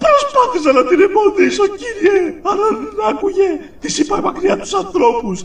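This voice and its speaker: An extremely high pitch marks this put-on character voice. Clear background noise runs underneath. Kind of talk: fan dub. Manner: nervous, stammering.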